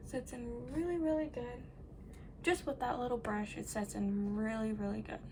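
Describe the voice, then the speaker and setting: Soft-spoken and with lively intonation, a woman talks against noticeable background noise. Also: fairly high pitch for a woman, moderate pace. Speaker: makeup tutorial creator. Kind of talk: makeup tutorial. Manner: quiet, soft-spoken.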